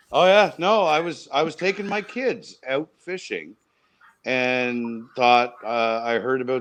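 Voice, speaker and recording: A man at medium pitch with a Maritime Canadian accent and very wide pitch swings. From New Brunswick, Canada (Miramichi). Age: middle-aged. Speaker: provincial government minister. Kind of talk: casual podcast interview.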